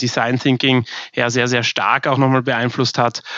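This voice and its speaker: Dry, close sound with no echo around a man speaking at a medium pitch. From Austria, Vienna. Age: 30s. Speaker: bank founder and CEO. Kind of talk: interview.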